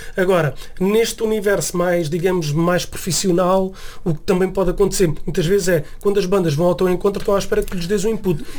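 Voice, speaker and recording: Over noticeable background noise, a man speaks with a high pitch, fairly even intonation, and very even loudness. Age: 40s. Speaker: music producer and musician. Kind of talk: radio interview. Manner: halting, many fillers and repetitions.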